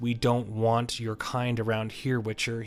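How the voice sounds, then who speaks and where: A gruff, growling put-on character voice from a man, medium in pitch, at a moderate pace with monotone, flat intonation. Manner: hostile.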